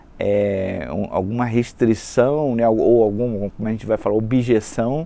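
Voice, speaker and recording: Pitched in the medium range, a man talks at a fairly slow pace. His pitch varies an ordinary amount. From Brazil, Rio de Janeiro. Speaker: sales and marketing executive. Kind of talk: casual interview chat.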